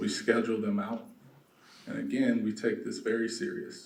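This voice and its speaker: A soft-spoken voice with an American accent and audible room echo. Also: man. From South Los Angeles. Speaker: real estate developer. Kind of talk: conference talk.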